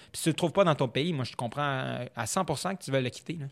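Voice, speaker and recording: A man with a Quebec accent, fairly high-pitched for a man, at a fairly quick pace with ordinary pitch variation, on a very clean recording with a silent background. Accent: Québécois French. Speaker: foreign correspondent journalist. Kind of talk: casual interview conversation.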